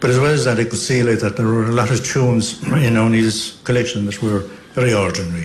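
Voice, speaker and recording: Over noticeable background noise and audible room echo, a man with a West Cork accent talks at a very fast pace and medium pitch, with fairly even intonation and very even loudness. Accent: West Cork Irish. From Ireland, West Cork (Beara Peninsula). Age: 70s. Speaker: traditional fiddle player and composer. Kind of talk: radio interview. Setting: hotel broadcast. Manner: halting.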